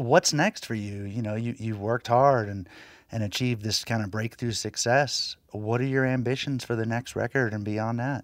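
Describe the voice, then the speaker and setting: A man with an American accent uses an ordinary speaking voice at medium pitch, with fairly even intonation and a moderate pace, in a dry, close sound with no echo on a very clean recording with a silent background. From Floyd County, Virginia. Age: 40s. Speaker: radio host. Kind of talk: scripted narration.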